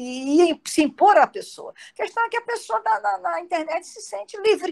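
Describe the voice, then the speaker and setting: This woman's high-pitched voice makes very wide pitch swings in a dry, close sound with no echo. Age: 60s. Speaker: psychoanalyst. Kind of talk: lecture Q&A. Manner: halting.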